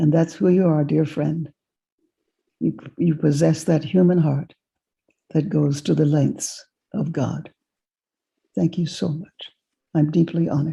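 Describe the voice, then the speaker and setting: Speaking at a fairly slow pace with long, frequent pauses, a woman uses a very deep, low pitch, vocal fry, a dark, mellow tone and fairly even intonation. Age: 80s+. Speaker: keynote speaker and author. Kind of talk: thanks after keynote.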